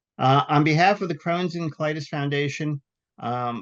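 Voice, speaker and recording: In an ordinary speaking voice with ordinary pitch variation, the speaker goes at a fairly quick pace over a quiet background. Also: man. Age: 60s. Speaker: webinar moderator and patient volunteer. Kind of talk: webinar hosting. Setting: virtual webinar.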